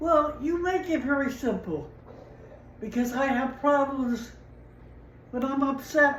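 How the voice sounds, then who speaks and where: Very slowly, a woman speaks in a high voice with lively intonation. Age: 80s+. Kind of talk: interview answer. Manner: hesitant, halting.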